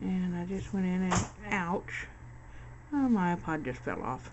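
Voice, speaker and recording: Audible room echo surrounds a woman speaking at medium pitch. She talks at a very slow pace with ordinary pitch variation. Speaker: crafter. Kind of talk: tutorial. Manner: casual.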